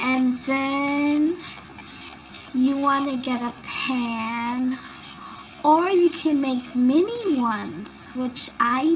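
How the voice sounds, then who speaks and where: A soft-spoken woman talks at a very slow pace in a high voice with ordinary pitch variation. Noticeable background noise runs beneath her. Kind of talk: ASMR recipe roleplay. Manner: soft-spoken, relaxing.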